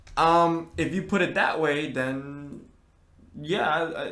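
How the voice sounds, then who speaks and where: Audible room echo surrounds a man who speaks at a very slow pace. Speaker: podcast co-host. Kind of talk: casual chat. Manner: halting, repeats words.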